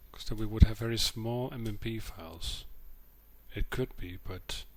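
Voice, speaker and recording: A man speaks quietly at a moderate pace. His loudness swings widely. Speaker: modding tutorial maker. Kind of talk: screen-capture tutorial narration. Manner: quiet, subdued.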